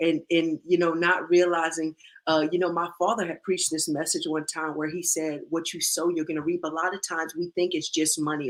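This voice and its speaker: Talking very fast, a woman with a fairly low voice keeps a flat, monotone intonation. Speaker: livestream host. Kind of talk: casual chat. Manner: loud.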